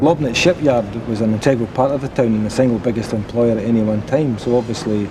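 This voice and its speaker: Against noticeable background noise, a man in a west of Scotland accent talks at a very fast pace, medium in pitch with ordinary pitch variation. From Scotland, Renfrew. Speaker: local resident. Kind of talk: interview.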